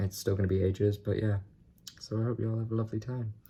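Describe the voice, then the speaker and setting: A man speaks at a fairly quick pace in a monotone, flat delivery. His tone is dark and mellow, and somewhat breathy. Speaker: vlogger. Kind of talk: casual talk to camera.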